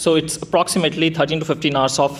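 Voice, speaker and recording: The speaker has an Indian accent and fairly even intonation. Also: man. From India (Delhi). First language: Hindi. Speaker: software developer, tech meetup speaker. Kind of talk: tech talk presentation.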